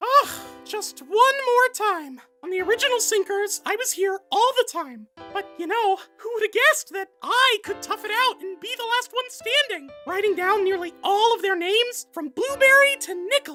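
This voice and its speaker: A cartoonish character voice squeaks at an extremely high pitch and a moderate pace. Faint music plays in the background. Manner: earnest, stumbling.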